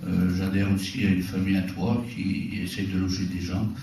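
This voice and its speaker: A man's fairly low pitch at a fairly slow pace, with noticeable background noise and audible room echo. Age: 50s. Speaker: retired farmer, local councillor. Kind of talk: public self-introduction at a meeting.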